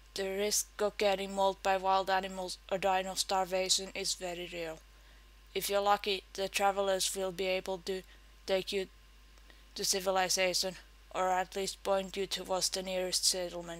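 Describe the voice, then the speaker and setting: Over a very clean recording with a silent background, a woman with a Finnish accent speaks at a moderate pace and medium pitch in a monotone, flat intonation. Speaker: game player and video maker. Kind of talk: read-aloud game tips talk. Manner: tongue-in-cheek.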